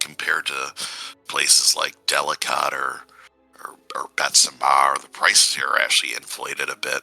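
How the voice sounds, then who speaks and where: A man puts on a raspy character voice at a moderate pace. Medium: actual play.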